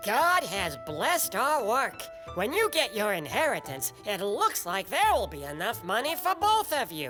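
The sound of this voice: Over clear music in the background, a man uses a cartoonish character voice at a high pitch and a moderate pace.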